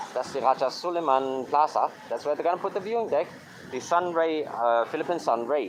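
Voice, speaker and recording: Talking very fast with lively intonation, a man with a fairly high pitch is heard against noticeable background noise. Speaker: travel vlogger. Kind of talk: casual walking vlog commentary. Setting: outdoors.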